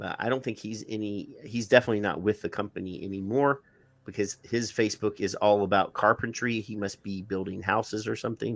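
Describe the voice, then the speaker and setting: A man with a Southern US accent speaks fairly quickly at a fairly low pitch on a very clean recording with a silent background. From US South. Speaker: live-stream show co-host. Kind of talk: casual chat. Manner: halting.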